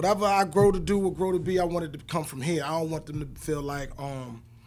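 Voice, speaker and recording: A fairly high-pitched man with a slight Southern US accent, very fast, with ordinary pitch variation. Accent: slight Southern (country). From born in New Jersey, raised in Virginia. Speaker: rapper and independent filmmaker. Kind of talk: casual interview.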